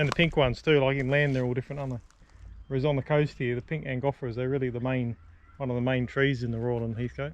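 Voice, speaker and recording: Very fast speech comes from a man with a medium pitch and monotone, flat intonation. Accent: Australian. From Sydney, Australia. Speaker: vlogger. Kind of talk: casual chat while hiking. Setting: outdoors on a bush walk.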